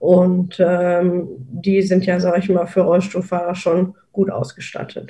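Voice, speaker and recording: Hardly pausing, a woman speaks at a moderate pace in a medium-pitched, somewhat breathy voice with a dark, mellow tone and monotone, flat intonation. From Rhineland, Germany. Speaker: accessible travel blogger. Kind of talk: casual group talk. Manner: halting, many fillers.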